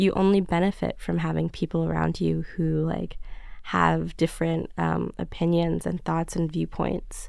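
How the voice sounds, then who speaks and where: A fairly slow delivery in a New York accent. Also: woman. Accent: New York American. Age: 20s. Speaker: magazine creative director. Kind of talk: casual chat. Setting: studio.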